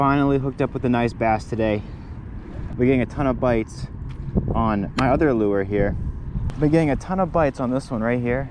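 A man speaks at a fairly quick pace with ordinary pitch variation. The sound is dry with no echo, and there is noticeable background noise. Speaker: angler vlogger. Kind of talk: casual vlog chat. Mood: relieved, pleased. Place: waterside. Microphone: phone near.

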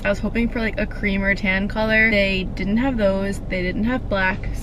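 Over noticeable background noise, a woman speaks at a moderate pace with fairly even intonation in a dry sound with no echo. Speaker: vlogger. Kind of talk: casual vlog chat. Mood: mildly disappointed, chatty. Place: car. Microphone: camera far.

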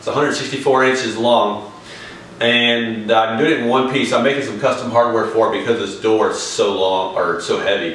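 Heard with audible room echo, a man speaks at a moderate pace with ordinary pitch variation. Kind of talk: tutorial. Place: home room. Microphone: camera far.

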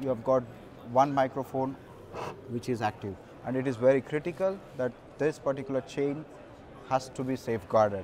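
A man's medium-pitched voice with a slightly mellow tone at a moderate pace

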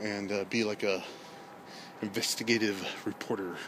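With an American accent, a man speaks in a fairly low pitch and fairly even intonation, the sound dry with no echo but with noticeable background noise. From Texas. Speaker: vlogger. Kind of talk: casual walking vlog monologue. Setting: outdoors at night, walking through city streets. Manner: rambling with frequent fillers and hesitations. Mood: relaxed, joking. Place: street. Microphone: phone near.

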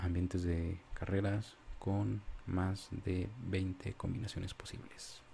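A man speaks in a very deep, low pitch with a dark, mellow tone. There is light background noise. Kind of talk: casual vlog chat. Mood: nostalgic, relaxed. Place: home room.

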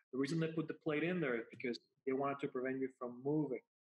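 A man speaks with a Spanish accent. His pitch sits fairly high. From Puerto Rico. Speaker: spine neurosurgeon. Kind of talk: interview. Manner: halting, many repetitions.

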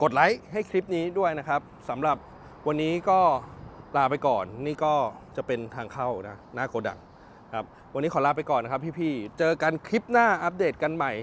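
A man's fairly high voice with lively intonation. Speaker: used car dealer / car vlogger. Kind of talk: walkaround sales video. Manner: loud.

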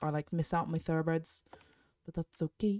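Recorded with a dry, close sound and no echo, a woman speaks in a fairly low pitch with a dark, mellow tone. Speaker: gaming youtuber. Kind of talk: gameplay commentary. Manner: casual, chatty.

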